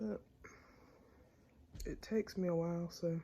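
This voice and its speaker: With an American accent, a woman speaks in a fairly low, somewhat breathy voice with a dark, mellow tone and ordinary pitch variation. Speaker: vlogger. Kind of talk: casual vlog talk.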